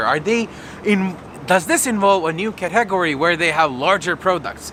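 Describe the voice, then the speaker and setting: A man speaks in a raised, projected voice with an animated tone and lively intonation. Noticeable background noise is present. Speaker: tech video creator. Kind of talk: casual vlog announcement.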